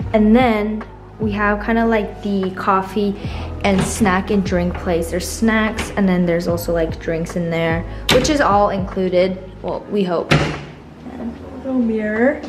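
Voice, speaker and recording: With music in the background, a woman speaks at a fairly slow pace with ordinary pitch variation. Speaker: travel vlogger. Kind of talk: casual vlog chat. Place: home room. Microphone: phone near.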